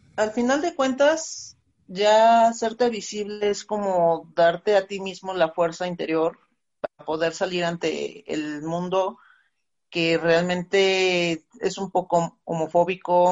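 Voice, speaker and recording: Her voice is a plain, everyday voice, fairly low for a woman, with ordinary pitch variation at a fairly slow pace. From Veracruz, Mexico. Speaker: taxi driver and LGBT activist. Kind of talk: panel discussion.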